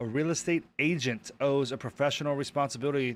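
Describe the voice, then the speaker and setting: The recording is very clean, with a silent background. A man with medium pitch talks at a fairly quick pace. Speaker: real estate exam prep YouTuber. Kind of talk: live stream, reading and working through practice questions. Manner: fast; thinking aloud, hesitant.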